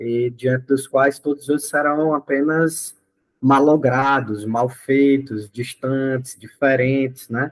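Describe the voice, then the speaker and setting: Very slow and monotone with flat intonation, a man's medium-pitched voice carries through. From Brazil, Ceará (Northeast). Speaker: study group facilitator. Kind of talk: group discussion talk. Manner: hesitant, frequent fillers.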